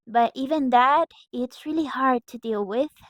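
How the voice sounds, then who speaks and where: In a Mexican accent, a woman speaks at a high pitch and a fairly slow pace with ordinary pitch variation, in a very clean recording with a silent background and a dry, close sound with no echo. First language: Spanish. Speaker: breakdancer. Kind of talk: motivational vlog talk. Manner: halting.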